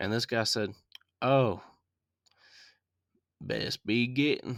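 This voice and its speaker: A man with a Southern US accent at a fairly slow pace, on a very clean recording with a silent background. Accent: mild Southern. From US South. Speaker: podcast host, movie reviewer. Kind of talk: movie review podcast. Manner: casual, with frequent fillers.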